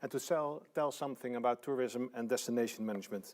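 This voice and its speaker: Speaking at a fairly quick pace, a man talks with a Dutch accent. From Netherlands, Friesland. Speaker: tourism organization director. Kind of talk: lecture. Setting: online live stream. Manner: halting, many fillers.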